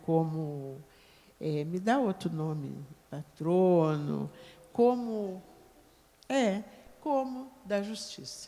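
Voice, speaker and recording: Lively intonation broken by long, frequent pauses. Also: woman. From Brazil, Rio Grande do Sul. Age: 70s. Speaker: religious leader of African-Brazilian tradition. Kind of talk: panel debate talk.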